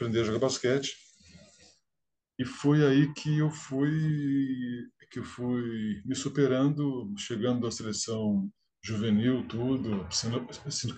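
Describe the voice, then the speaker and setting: A man's medium-pitched voice at a very slow pace, with long, frequent pauses and ordinary pitch variation. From Brazil, interior of São Paulo state (Franca). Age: 50s. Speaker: engineer and stuttering advocate. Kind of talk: interview. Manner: repetitions and hesitations.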